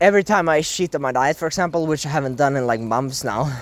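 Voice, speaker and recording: With a non-native accent, a man talks at a fairly quick pace and a fairly high pitch, using ordinary pitch variation. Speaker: carnivore diet vlogger. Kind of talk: casual monologue vlog. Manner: animated; halting.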